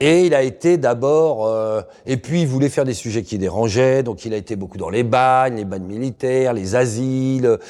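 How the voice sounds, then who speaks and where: The recording is very clean, its background silent. A man talks with ordinary pitch variation and a dark, mellow tone. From Paris region, Seine-Saint-Denis (93). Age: 50s. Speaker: investigative journalist. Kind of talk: interview. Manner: casual, colloquial with hesitations.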